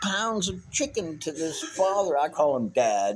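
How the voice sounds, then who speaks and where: A man speaks at a fairly slow pace with very wide pitch swings. Noticeable background noise is heard. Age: 60s. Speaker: homeless veteran traveler. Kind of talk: casual chat. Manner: halting.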